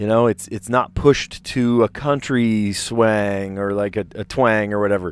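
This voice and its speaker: On a very clean recording with a silent background, a man with an American accent speaks at a fairly slow pace with a fairly low pitch, fairly even intonation, and hardly any pauses. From US Northeast, South Jersey. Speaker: teacher and puzzle streamer. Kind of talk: casual chat. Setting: live stream. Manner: halting.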